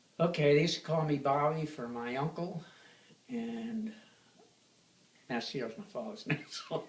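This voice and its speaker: A man speaks at a moderate pace with a fairly high pitch and lively intonation, taking long, frequent pauses against noticeable background noise. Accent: American. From New York City. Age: 80s+. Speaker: oral history interviewee. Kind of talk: interview.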